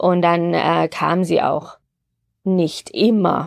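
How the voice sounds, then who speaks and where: The recording is very clean with a silent background. A woman speaks with a dry, close sound and no echo. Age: 50s. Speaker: pharmacy podcast host. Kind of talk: personal testimony.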